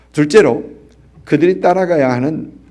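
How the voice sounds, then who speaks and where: With audible room echo, a man speaks at a fairly slow pace in a fairly high voice marked by vocal fry and very wide pitch swings. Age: 60s. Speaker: pastor. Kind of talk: sermon. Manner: halting, many fillers.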